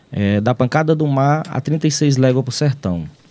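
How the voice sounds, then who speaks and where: Dark and mellow in tone, the voice moves at a fairly slow pace with lively intonation. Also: man. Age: 40s. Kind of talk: radio interview. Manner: halting.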